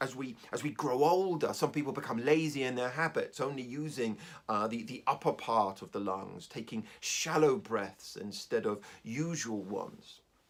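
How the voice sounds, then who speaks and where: With a plain, everyday voice, a man at a medium pitch speaks at a moderate pace with lively intonation. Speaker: hypnotherapist. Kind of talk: casual talk to camera.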